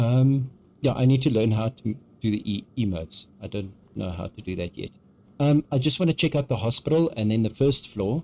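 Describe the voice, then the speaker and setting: A man with a South African accent, a dark, mellow tone, lively intonation and a fairly quick pace. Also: medium pitch for a man. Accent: South African, noticeable. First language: Afrikaans. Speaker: video game streamer. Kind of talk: live gameplay stream chat. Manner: hesitant, many ums; animated.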